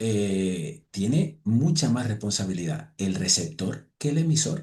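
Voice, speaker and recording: A man talks at a fairly slow pace with a dark, mellow tone. His voice has vocal fry and very wide pitch swings. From Spanish islands (Balearic or Canary). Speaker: podcast host. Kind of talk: casual chat.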